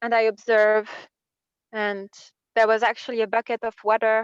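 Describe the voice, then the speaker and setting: A woman with a French accent and a fairly high pitch, at a moderate pace, in a dry, close sound with no echo. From France. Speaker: workshop participant. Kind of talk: personal sharing in group workshop. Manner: halting.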